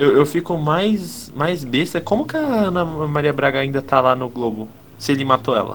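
There is noticeable background noise as a man speaks at a moderate pace. His pitch is fairly high and varies in an ordinary way. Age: 20s. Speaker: podcast co-host. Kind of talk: casual chat.

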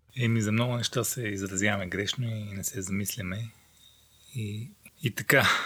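Calm in tone yet bright and sharp, a man's fairly low voice moves at a moderate pace with fairly even intonation. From Bulgaria, Rhodope mountains. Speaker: adventurer. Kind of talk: casual interview. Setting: unfinished attic in a village house.

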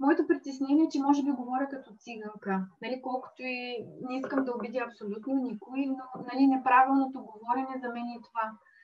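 Against noticeable background noise, a woman talks in a high pitch with fairly even intonation. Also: fairly quick pace. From Bulgaria, Dobrich. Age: 40s. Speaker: accountant and small craft business owner. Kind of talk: interview.

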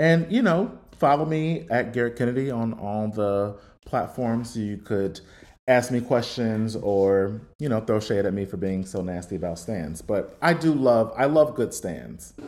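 Lively intonation from a man with an American accent, medium in pitch and fairly slow in pace. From Cincinnati, Ohio. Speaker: music journalist and author. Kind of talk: interview.

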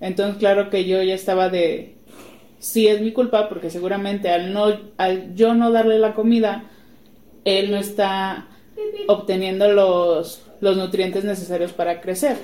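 Flat, monotone intonation carries speech that moves at a fairly slow pace. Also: woman, medium pitch for a woman. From Guadalajara, Mexico. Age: 20s. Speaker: podcast co-host, preschool teacher, mother. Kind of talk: casual chat.

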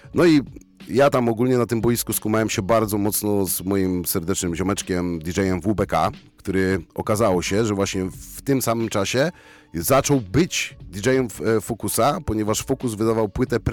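Over music in the background, a man speaks at a moderate pace in a fairly low pitch with ordinary pitch variation. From Poland, Bielsko-Biała. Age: 30s. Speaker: rapper and concert emcee. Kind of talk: casual chat. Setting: radio studio.

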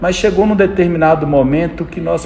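Against noticeable background noise, a man speaks at a fairly high pitch with ordinary pitch variation. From Brazil, interior of Minas Gerais. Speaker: fuel station owner and business CEO. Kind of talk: interview conversation.

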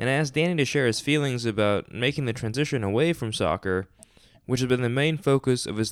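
Very clean recording, silent background, and a man with an unremarkable speaking voice. He speaks at a medium pitch and a fairly quick pace, with ordinary pitch variation. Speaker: podcast host. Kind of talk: scripted narration; interview.

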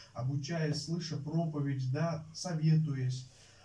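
The voice has a dark, mellow tone, with audible room echo. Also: man. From Uzbekistan. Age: 20s. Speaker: Bible college student preacher. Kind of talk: sermon. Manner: halting, many filler sounds.

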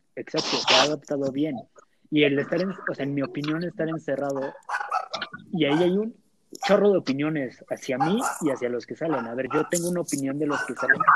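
A man's fairly high voice at a fairly quick pace, with ordinary pitch variation and long, frequent pauses. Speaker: university student. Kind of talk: casual chat.

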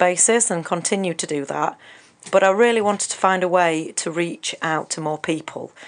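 Someone with an English accent talks at a fairly quick pace with ordinary pitch variation. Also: woman. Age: 40s. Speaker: counsellor and author. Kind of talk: radio interview. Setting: radio studio.

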